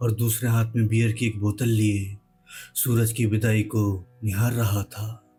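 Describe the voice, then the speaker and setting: Music plays in the background as the voice runs on in a monotone, flat intonation. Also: man. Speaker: horror storyteller. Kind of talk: horror story narration.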